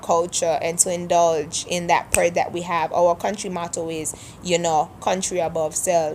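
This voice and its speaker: A woman speaks with a Kittitian accent. Her delivery is fairly slow and flat, in a monotone. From St Kitts (Sandy Point, Frigate Bay). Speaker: vlogger. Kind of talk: accent tag vlog, casual monologue.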